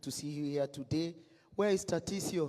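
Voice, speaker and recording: At a moderate pace, a man speaks with a fairly high pitch and a dark, mellow tone. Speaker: lawyer. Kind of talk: event speech. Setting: dinner hall with audience, PA system. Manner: loud.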